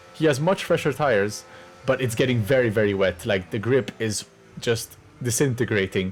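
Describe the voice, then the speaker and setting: Over music in the background, a man with a French accent talks at a moderate pace, with medium pitch and ordinary pitch variation. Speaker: sim racing driver and video commentator. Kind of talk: commentary over race highlights. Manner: casual, hesitant with fillers.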